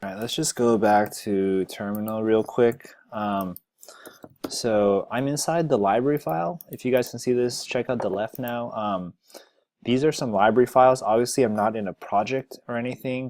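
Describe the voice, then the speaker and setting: A man speaks at a moderate pace in a normal speaking voice, with medium pitch and ordinary pitch variation. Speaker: software developer, tech video creator. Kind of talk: screencast tutorial. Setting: screen recording. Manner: casual.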